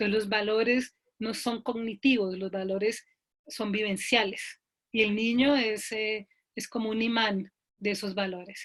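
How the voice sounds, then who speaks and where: The woman's intonation is monotone and flat as she talks at a fairly slow pace. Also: fairly high pitch for a woman. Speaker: logotherapist, psychologist. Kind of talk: online talk. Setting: video call. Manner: deliberately slow.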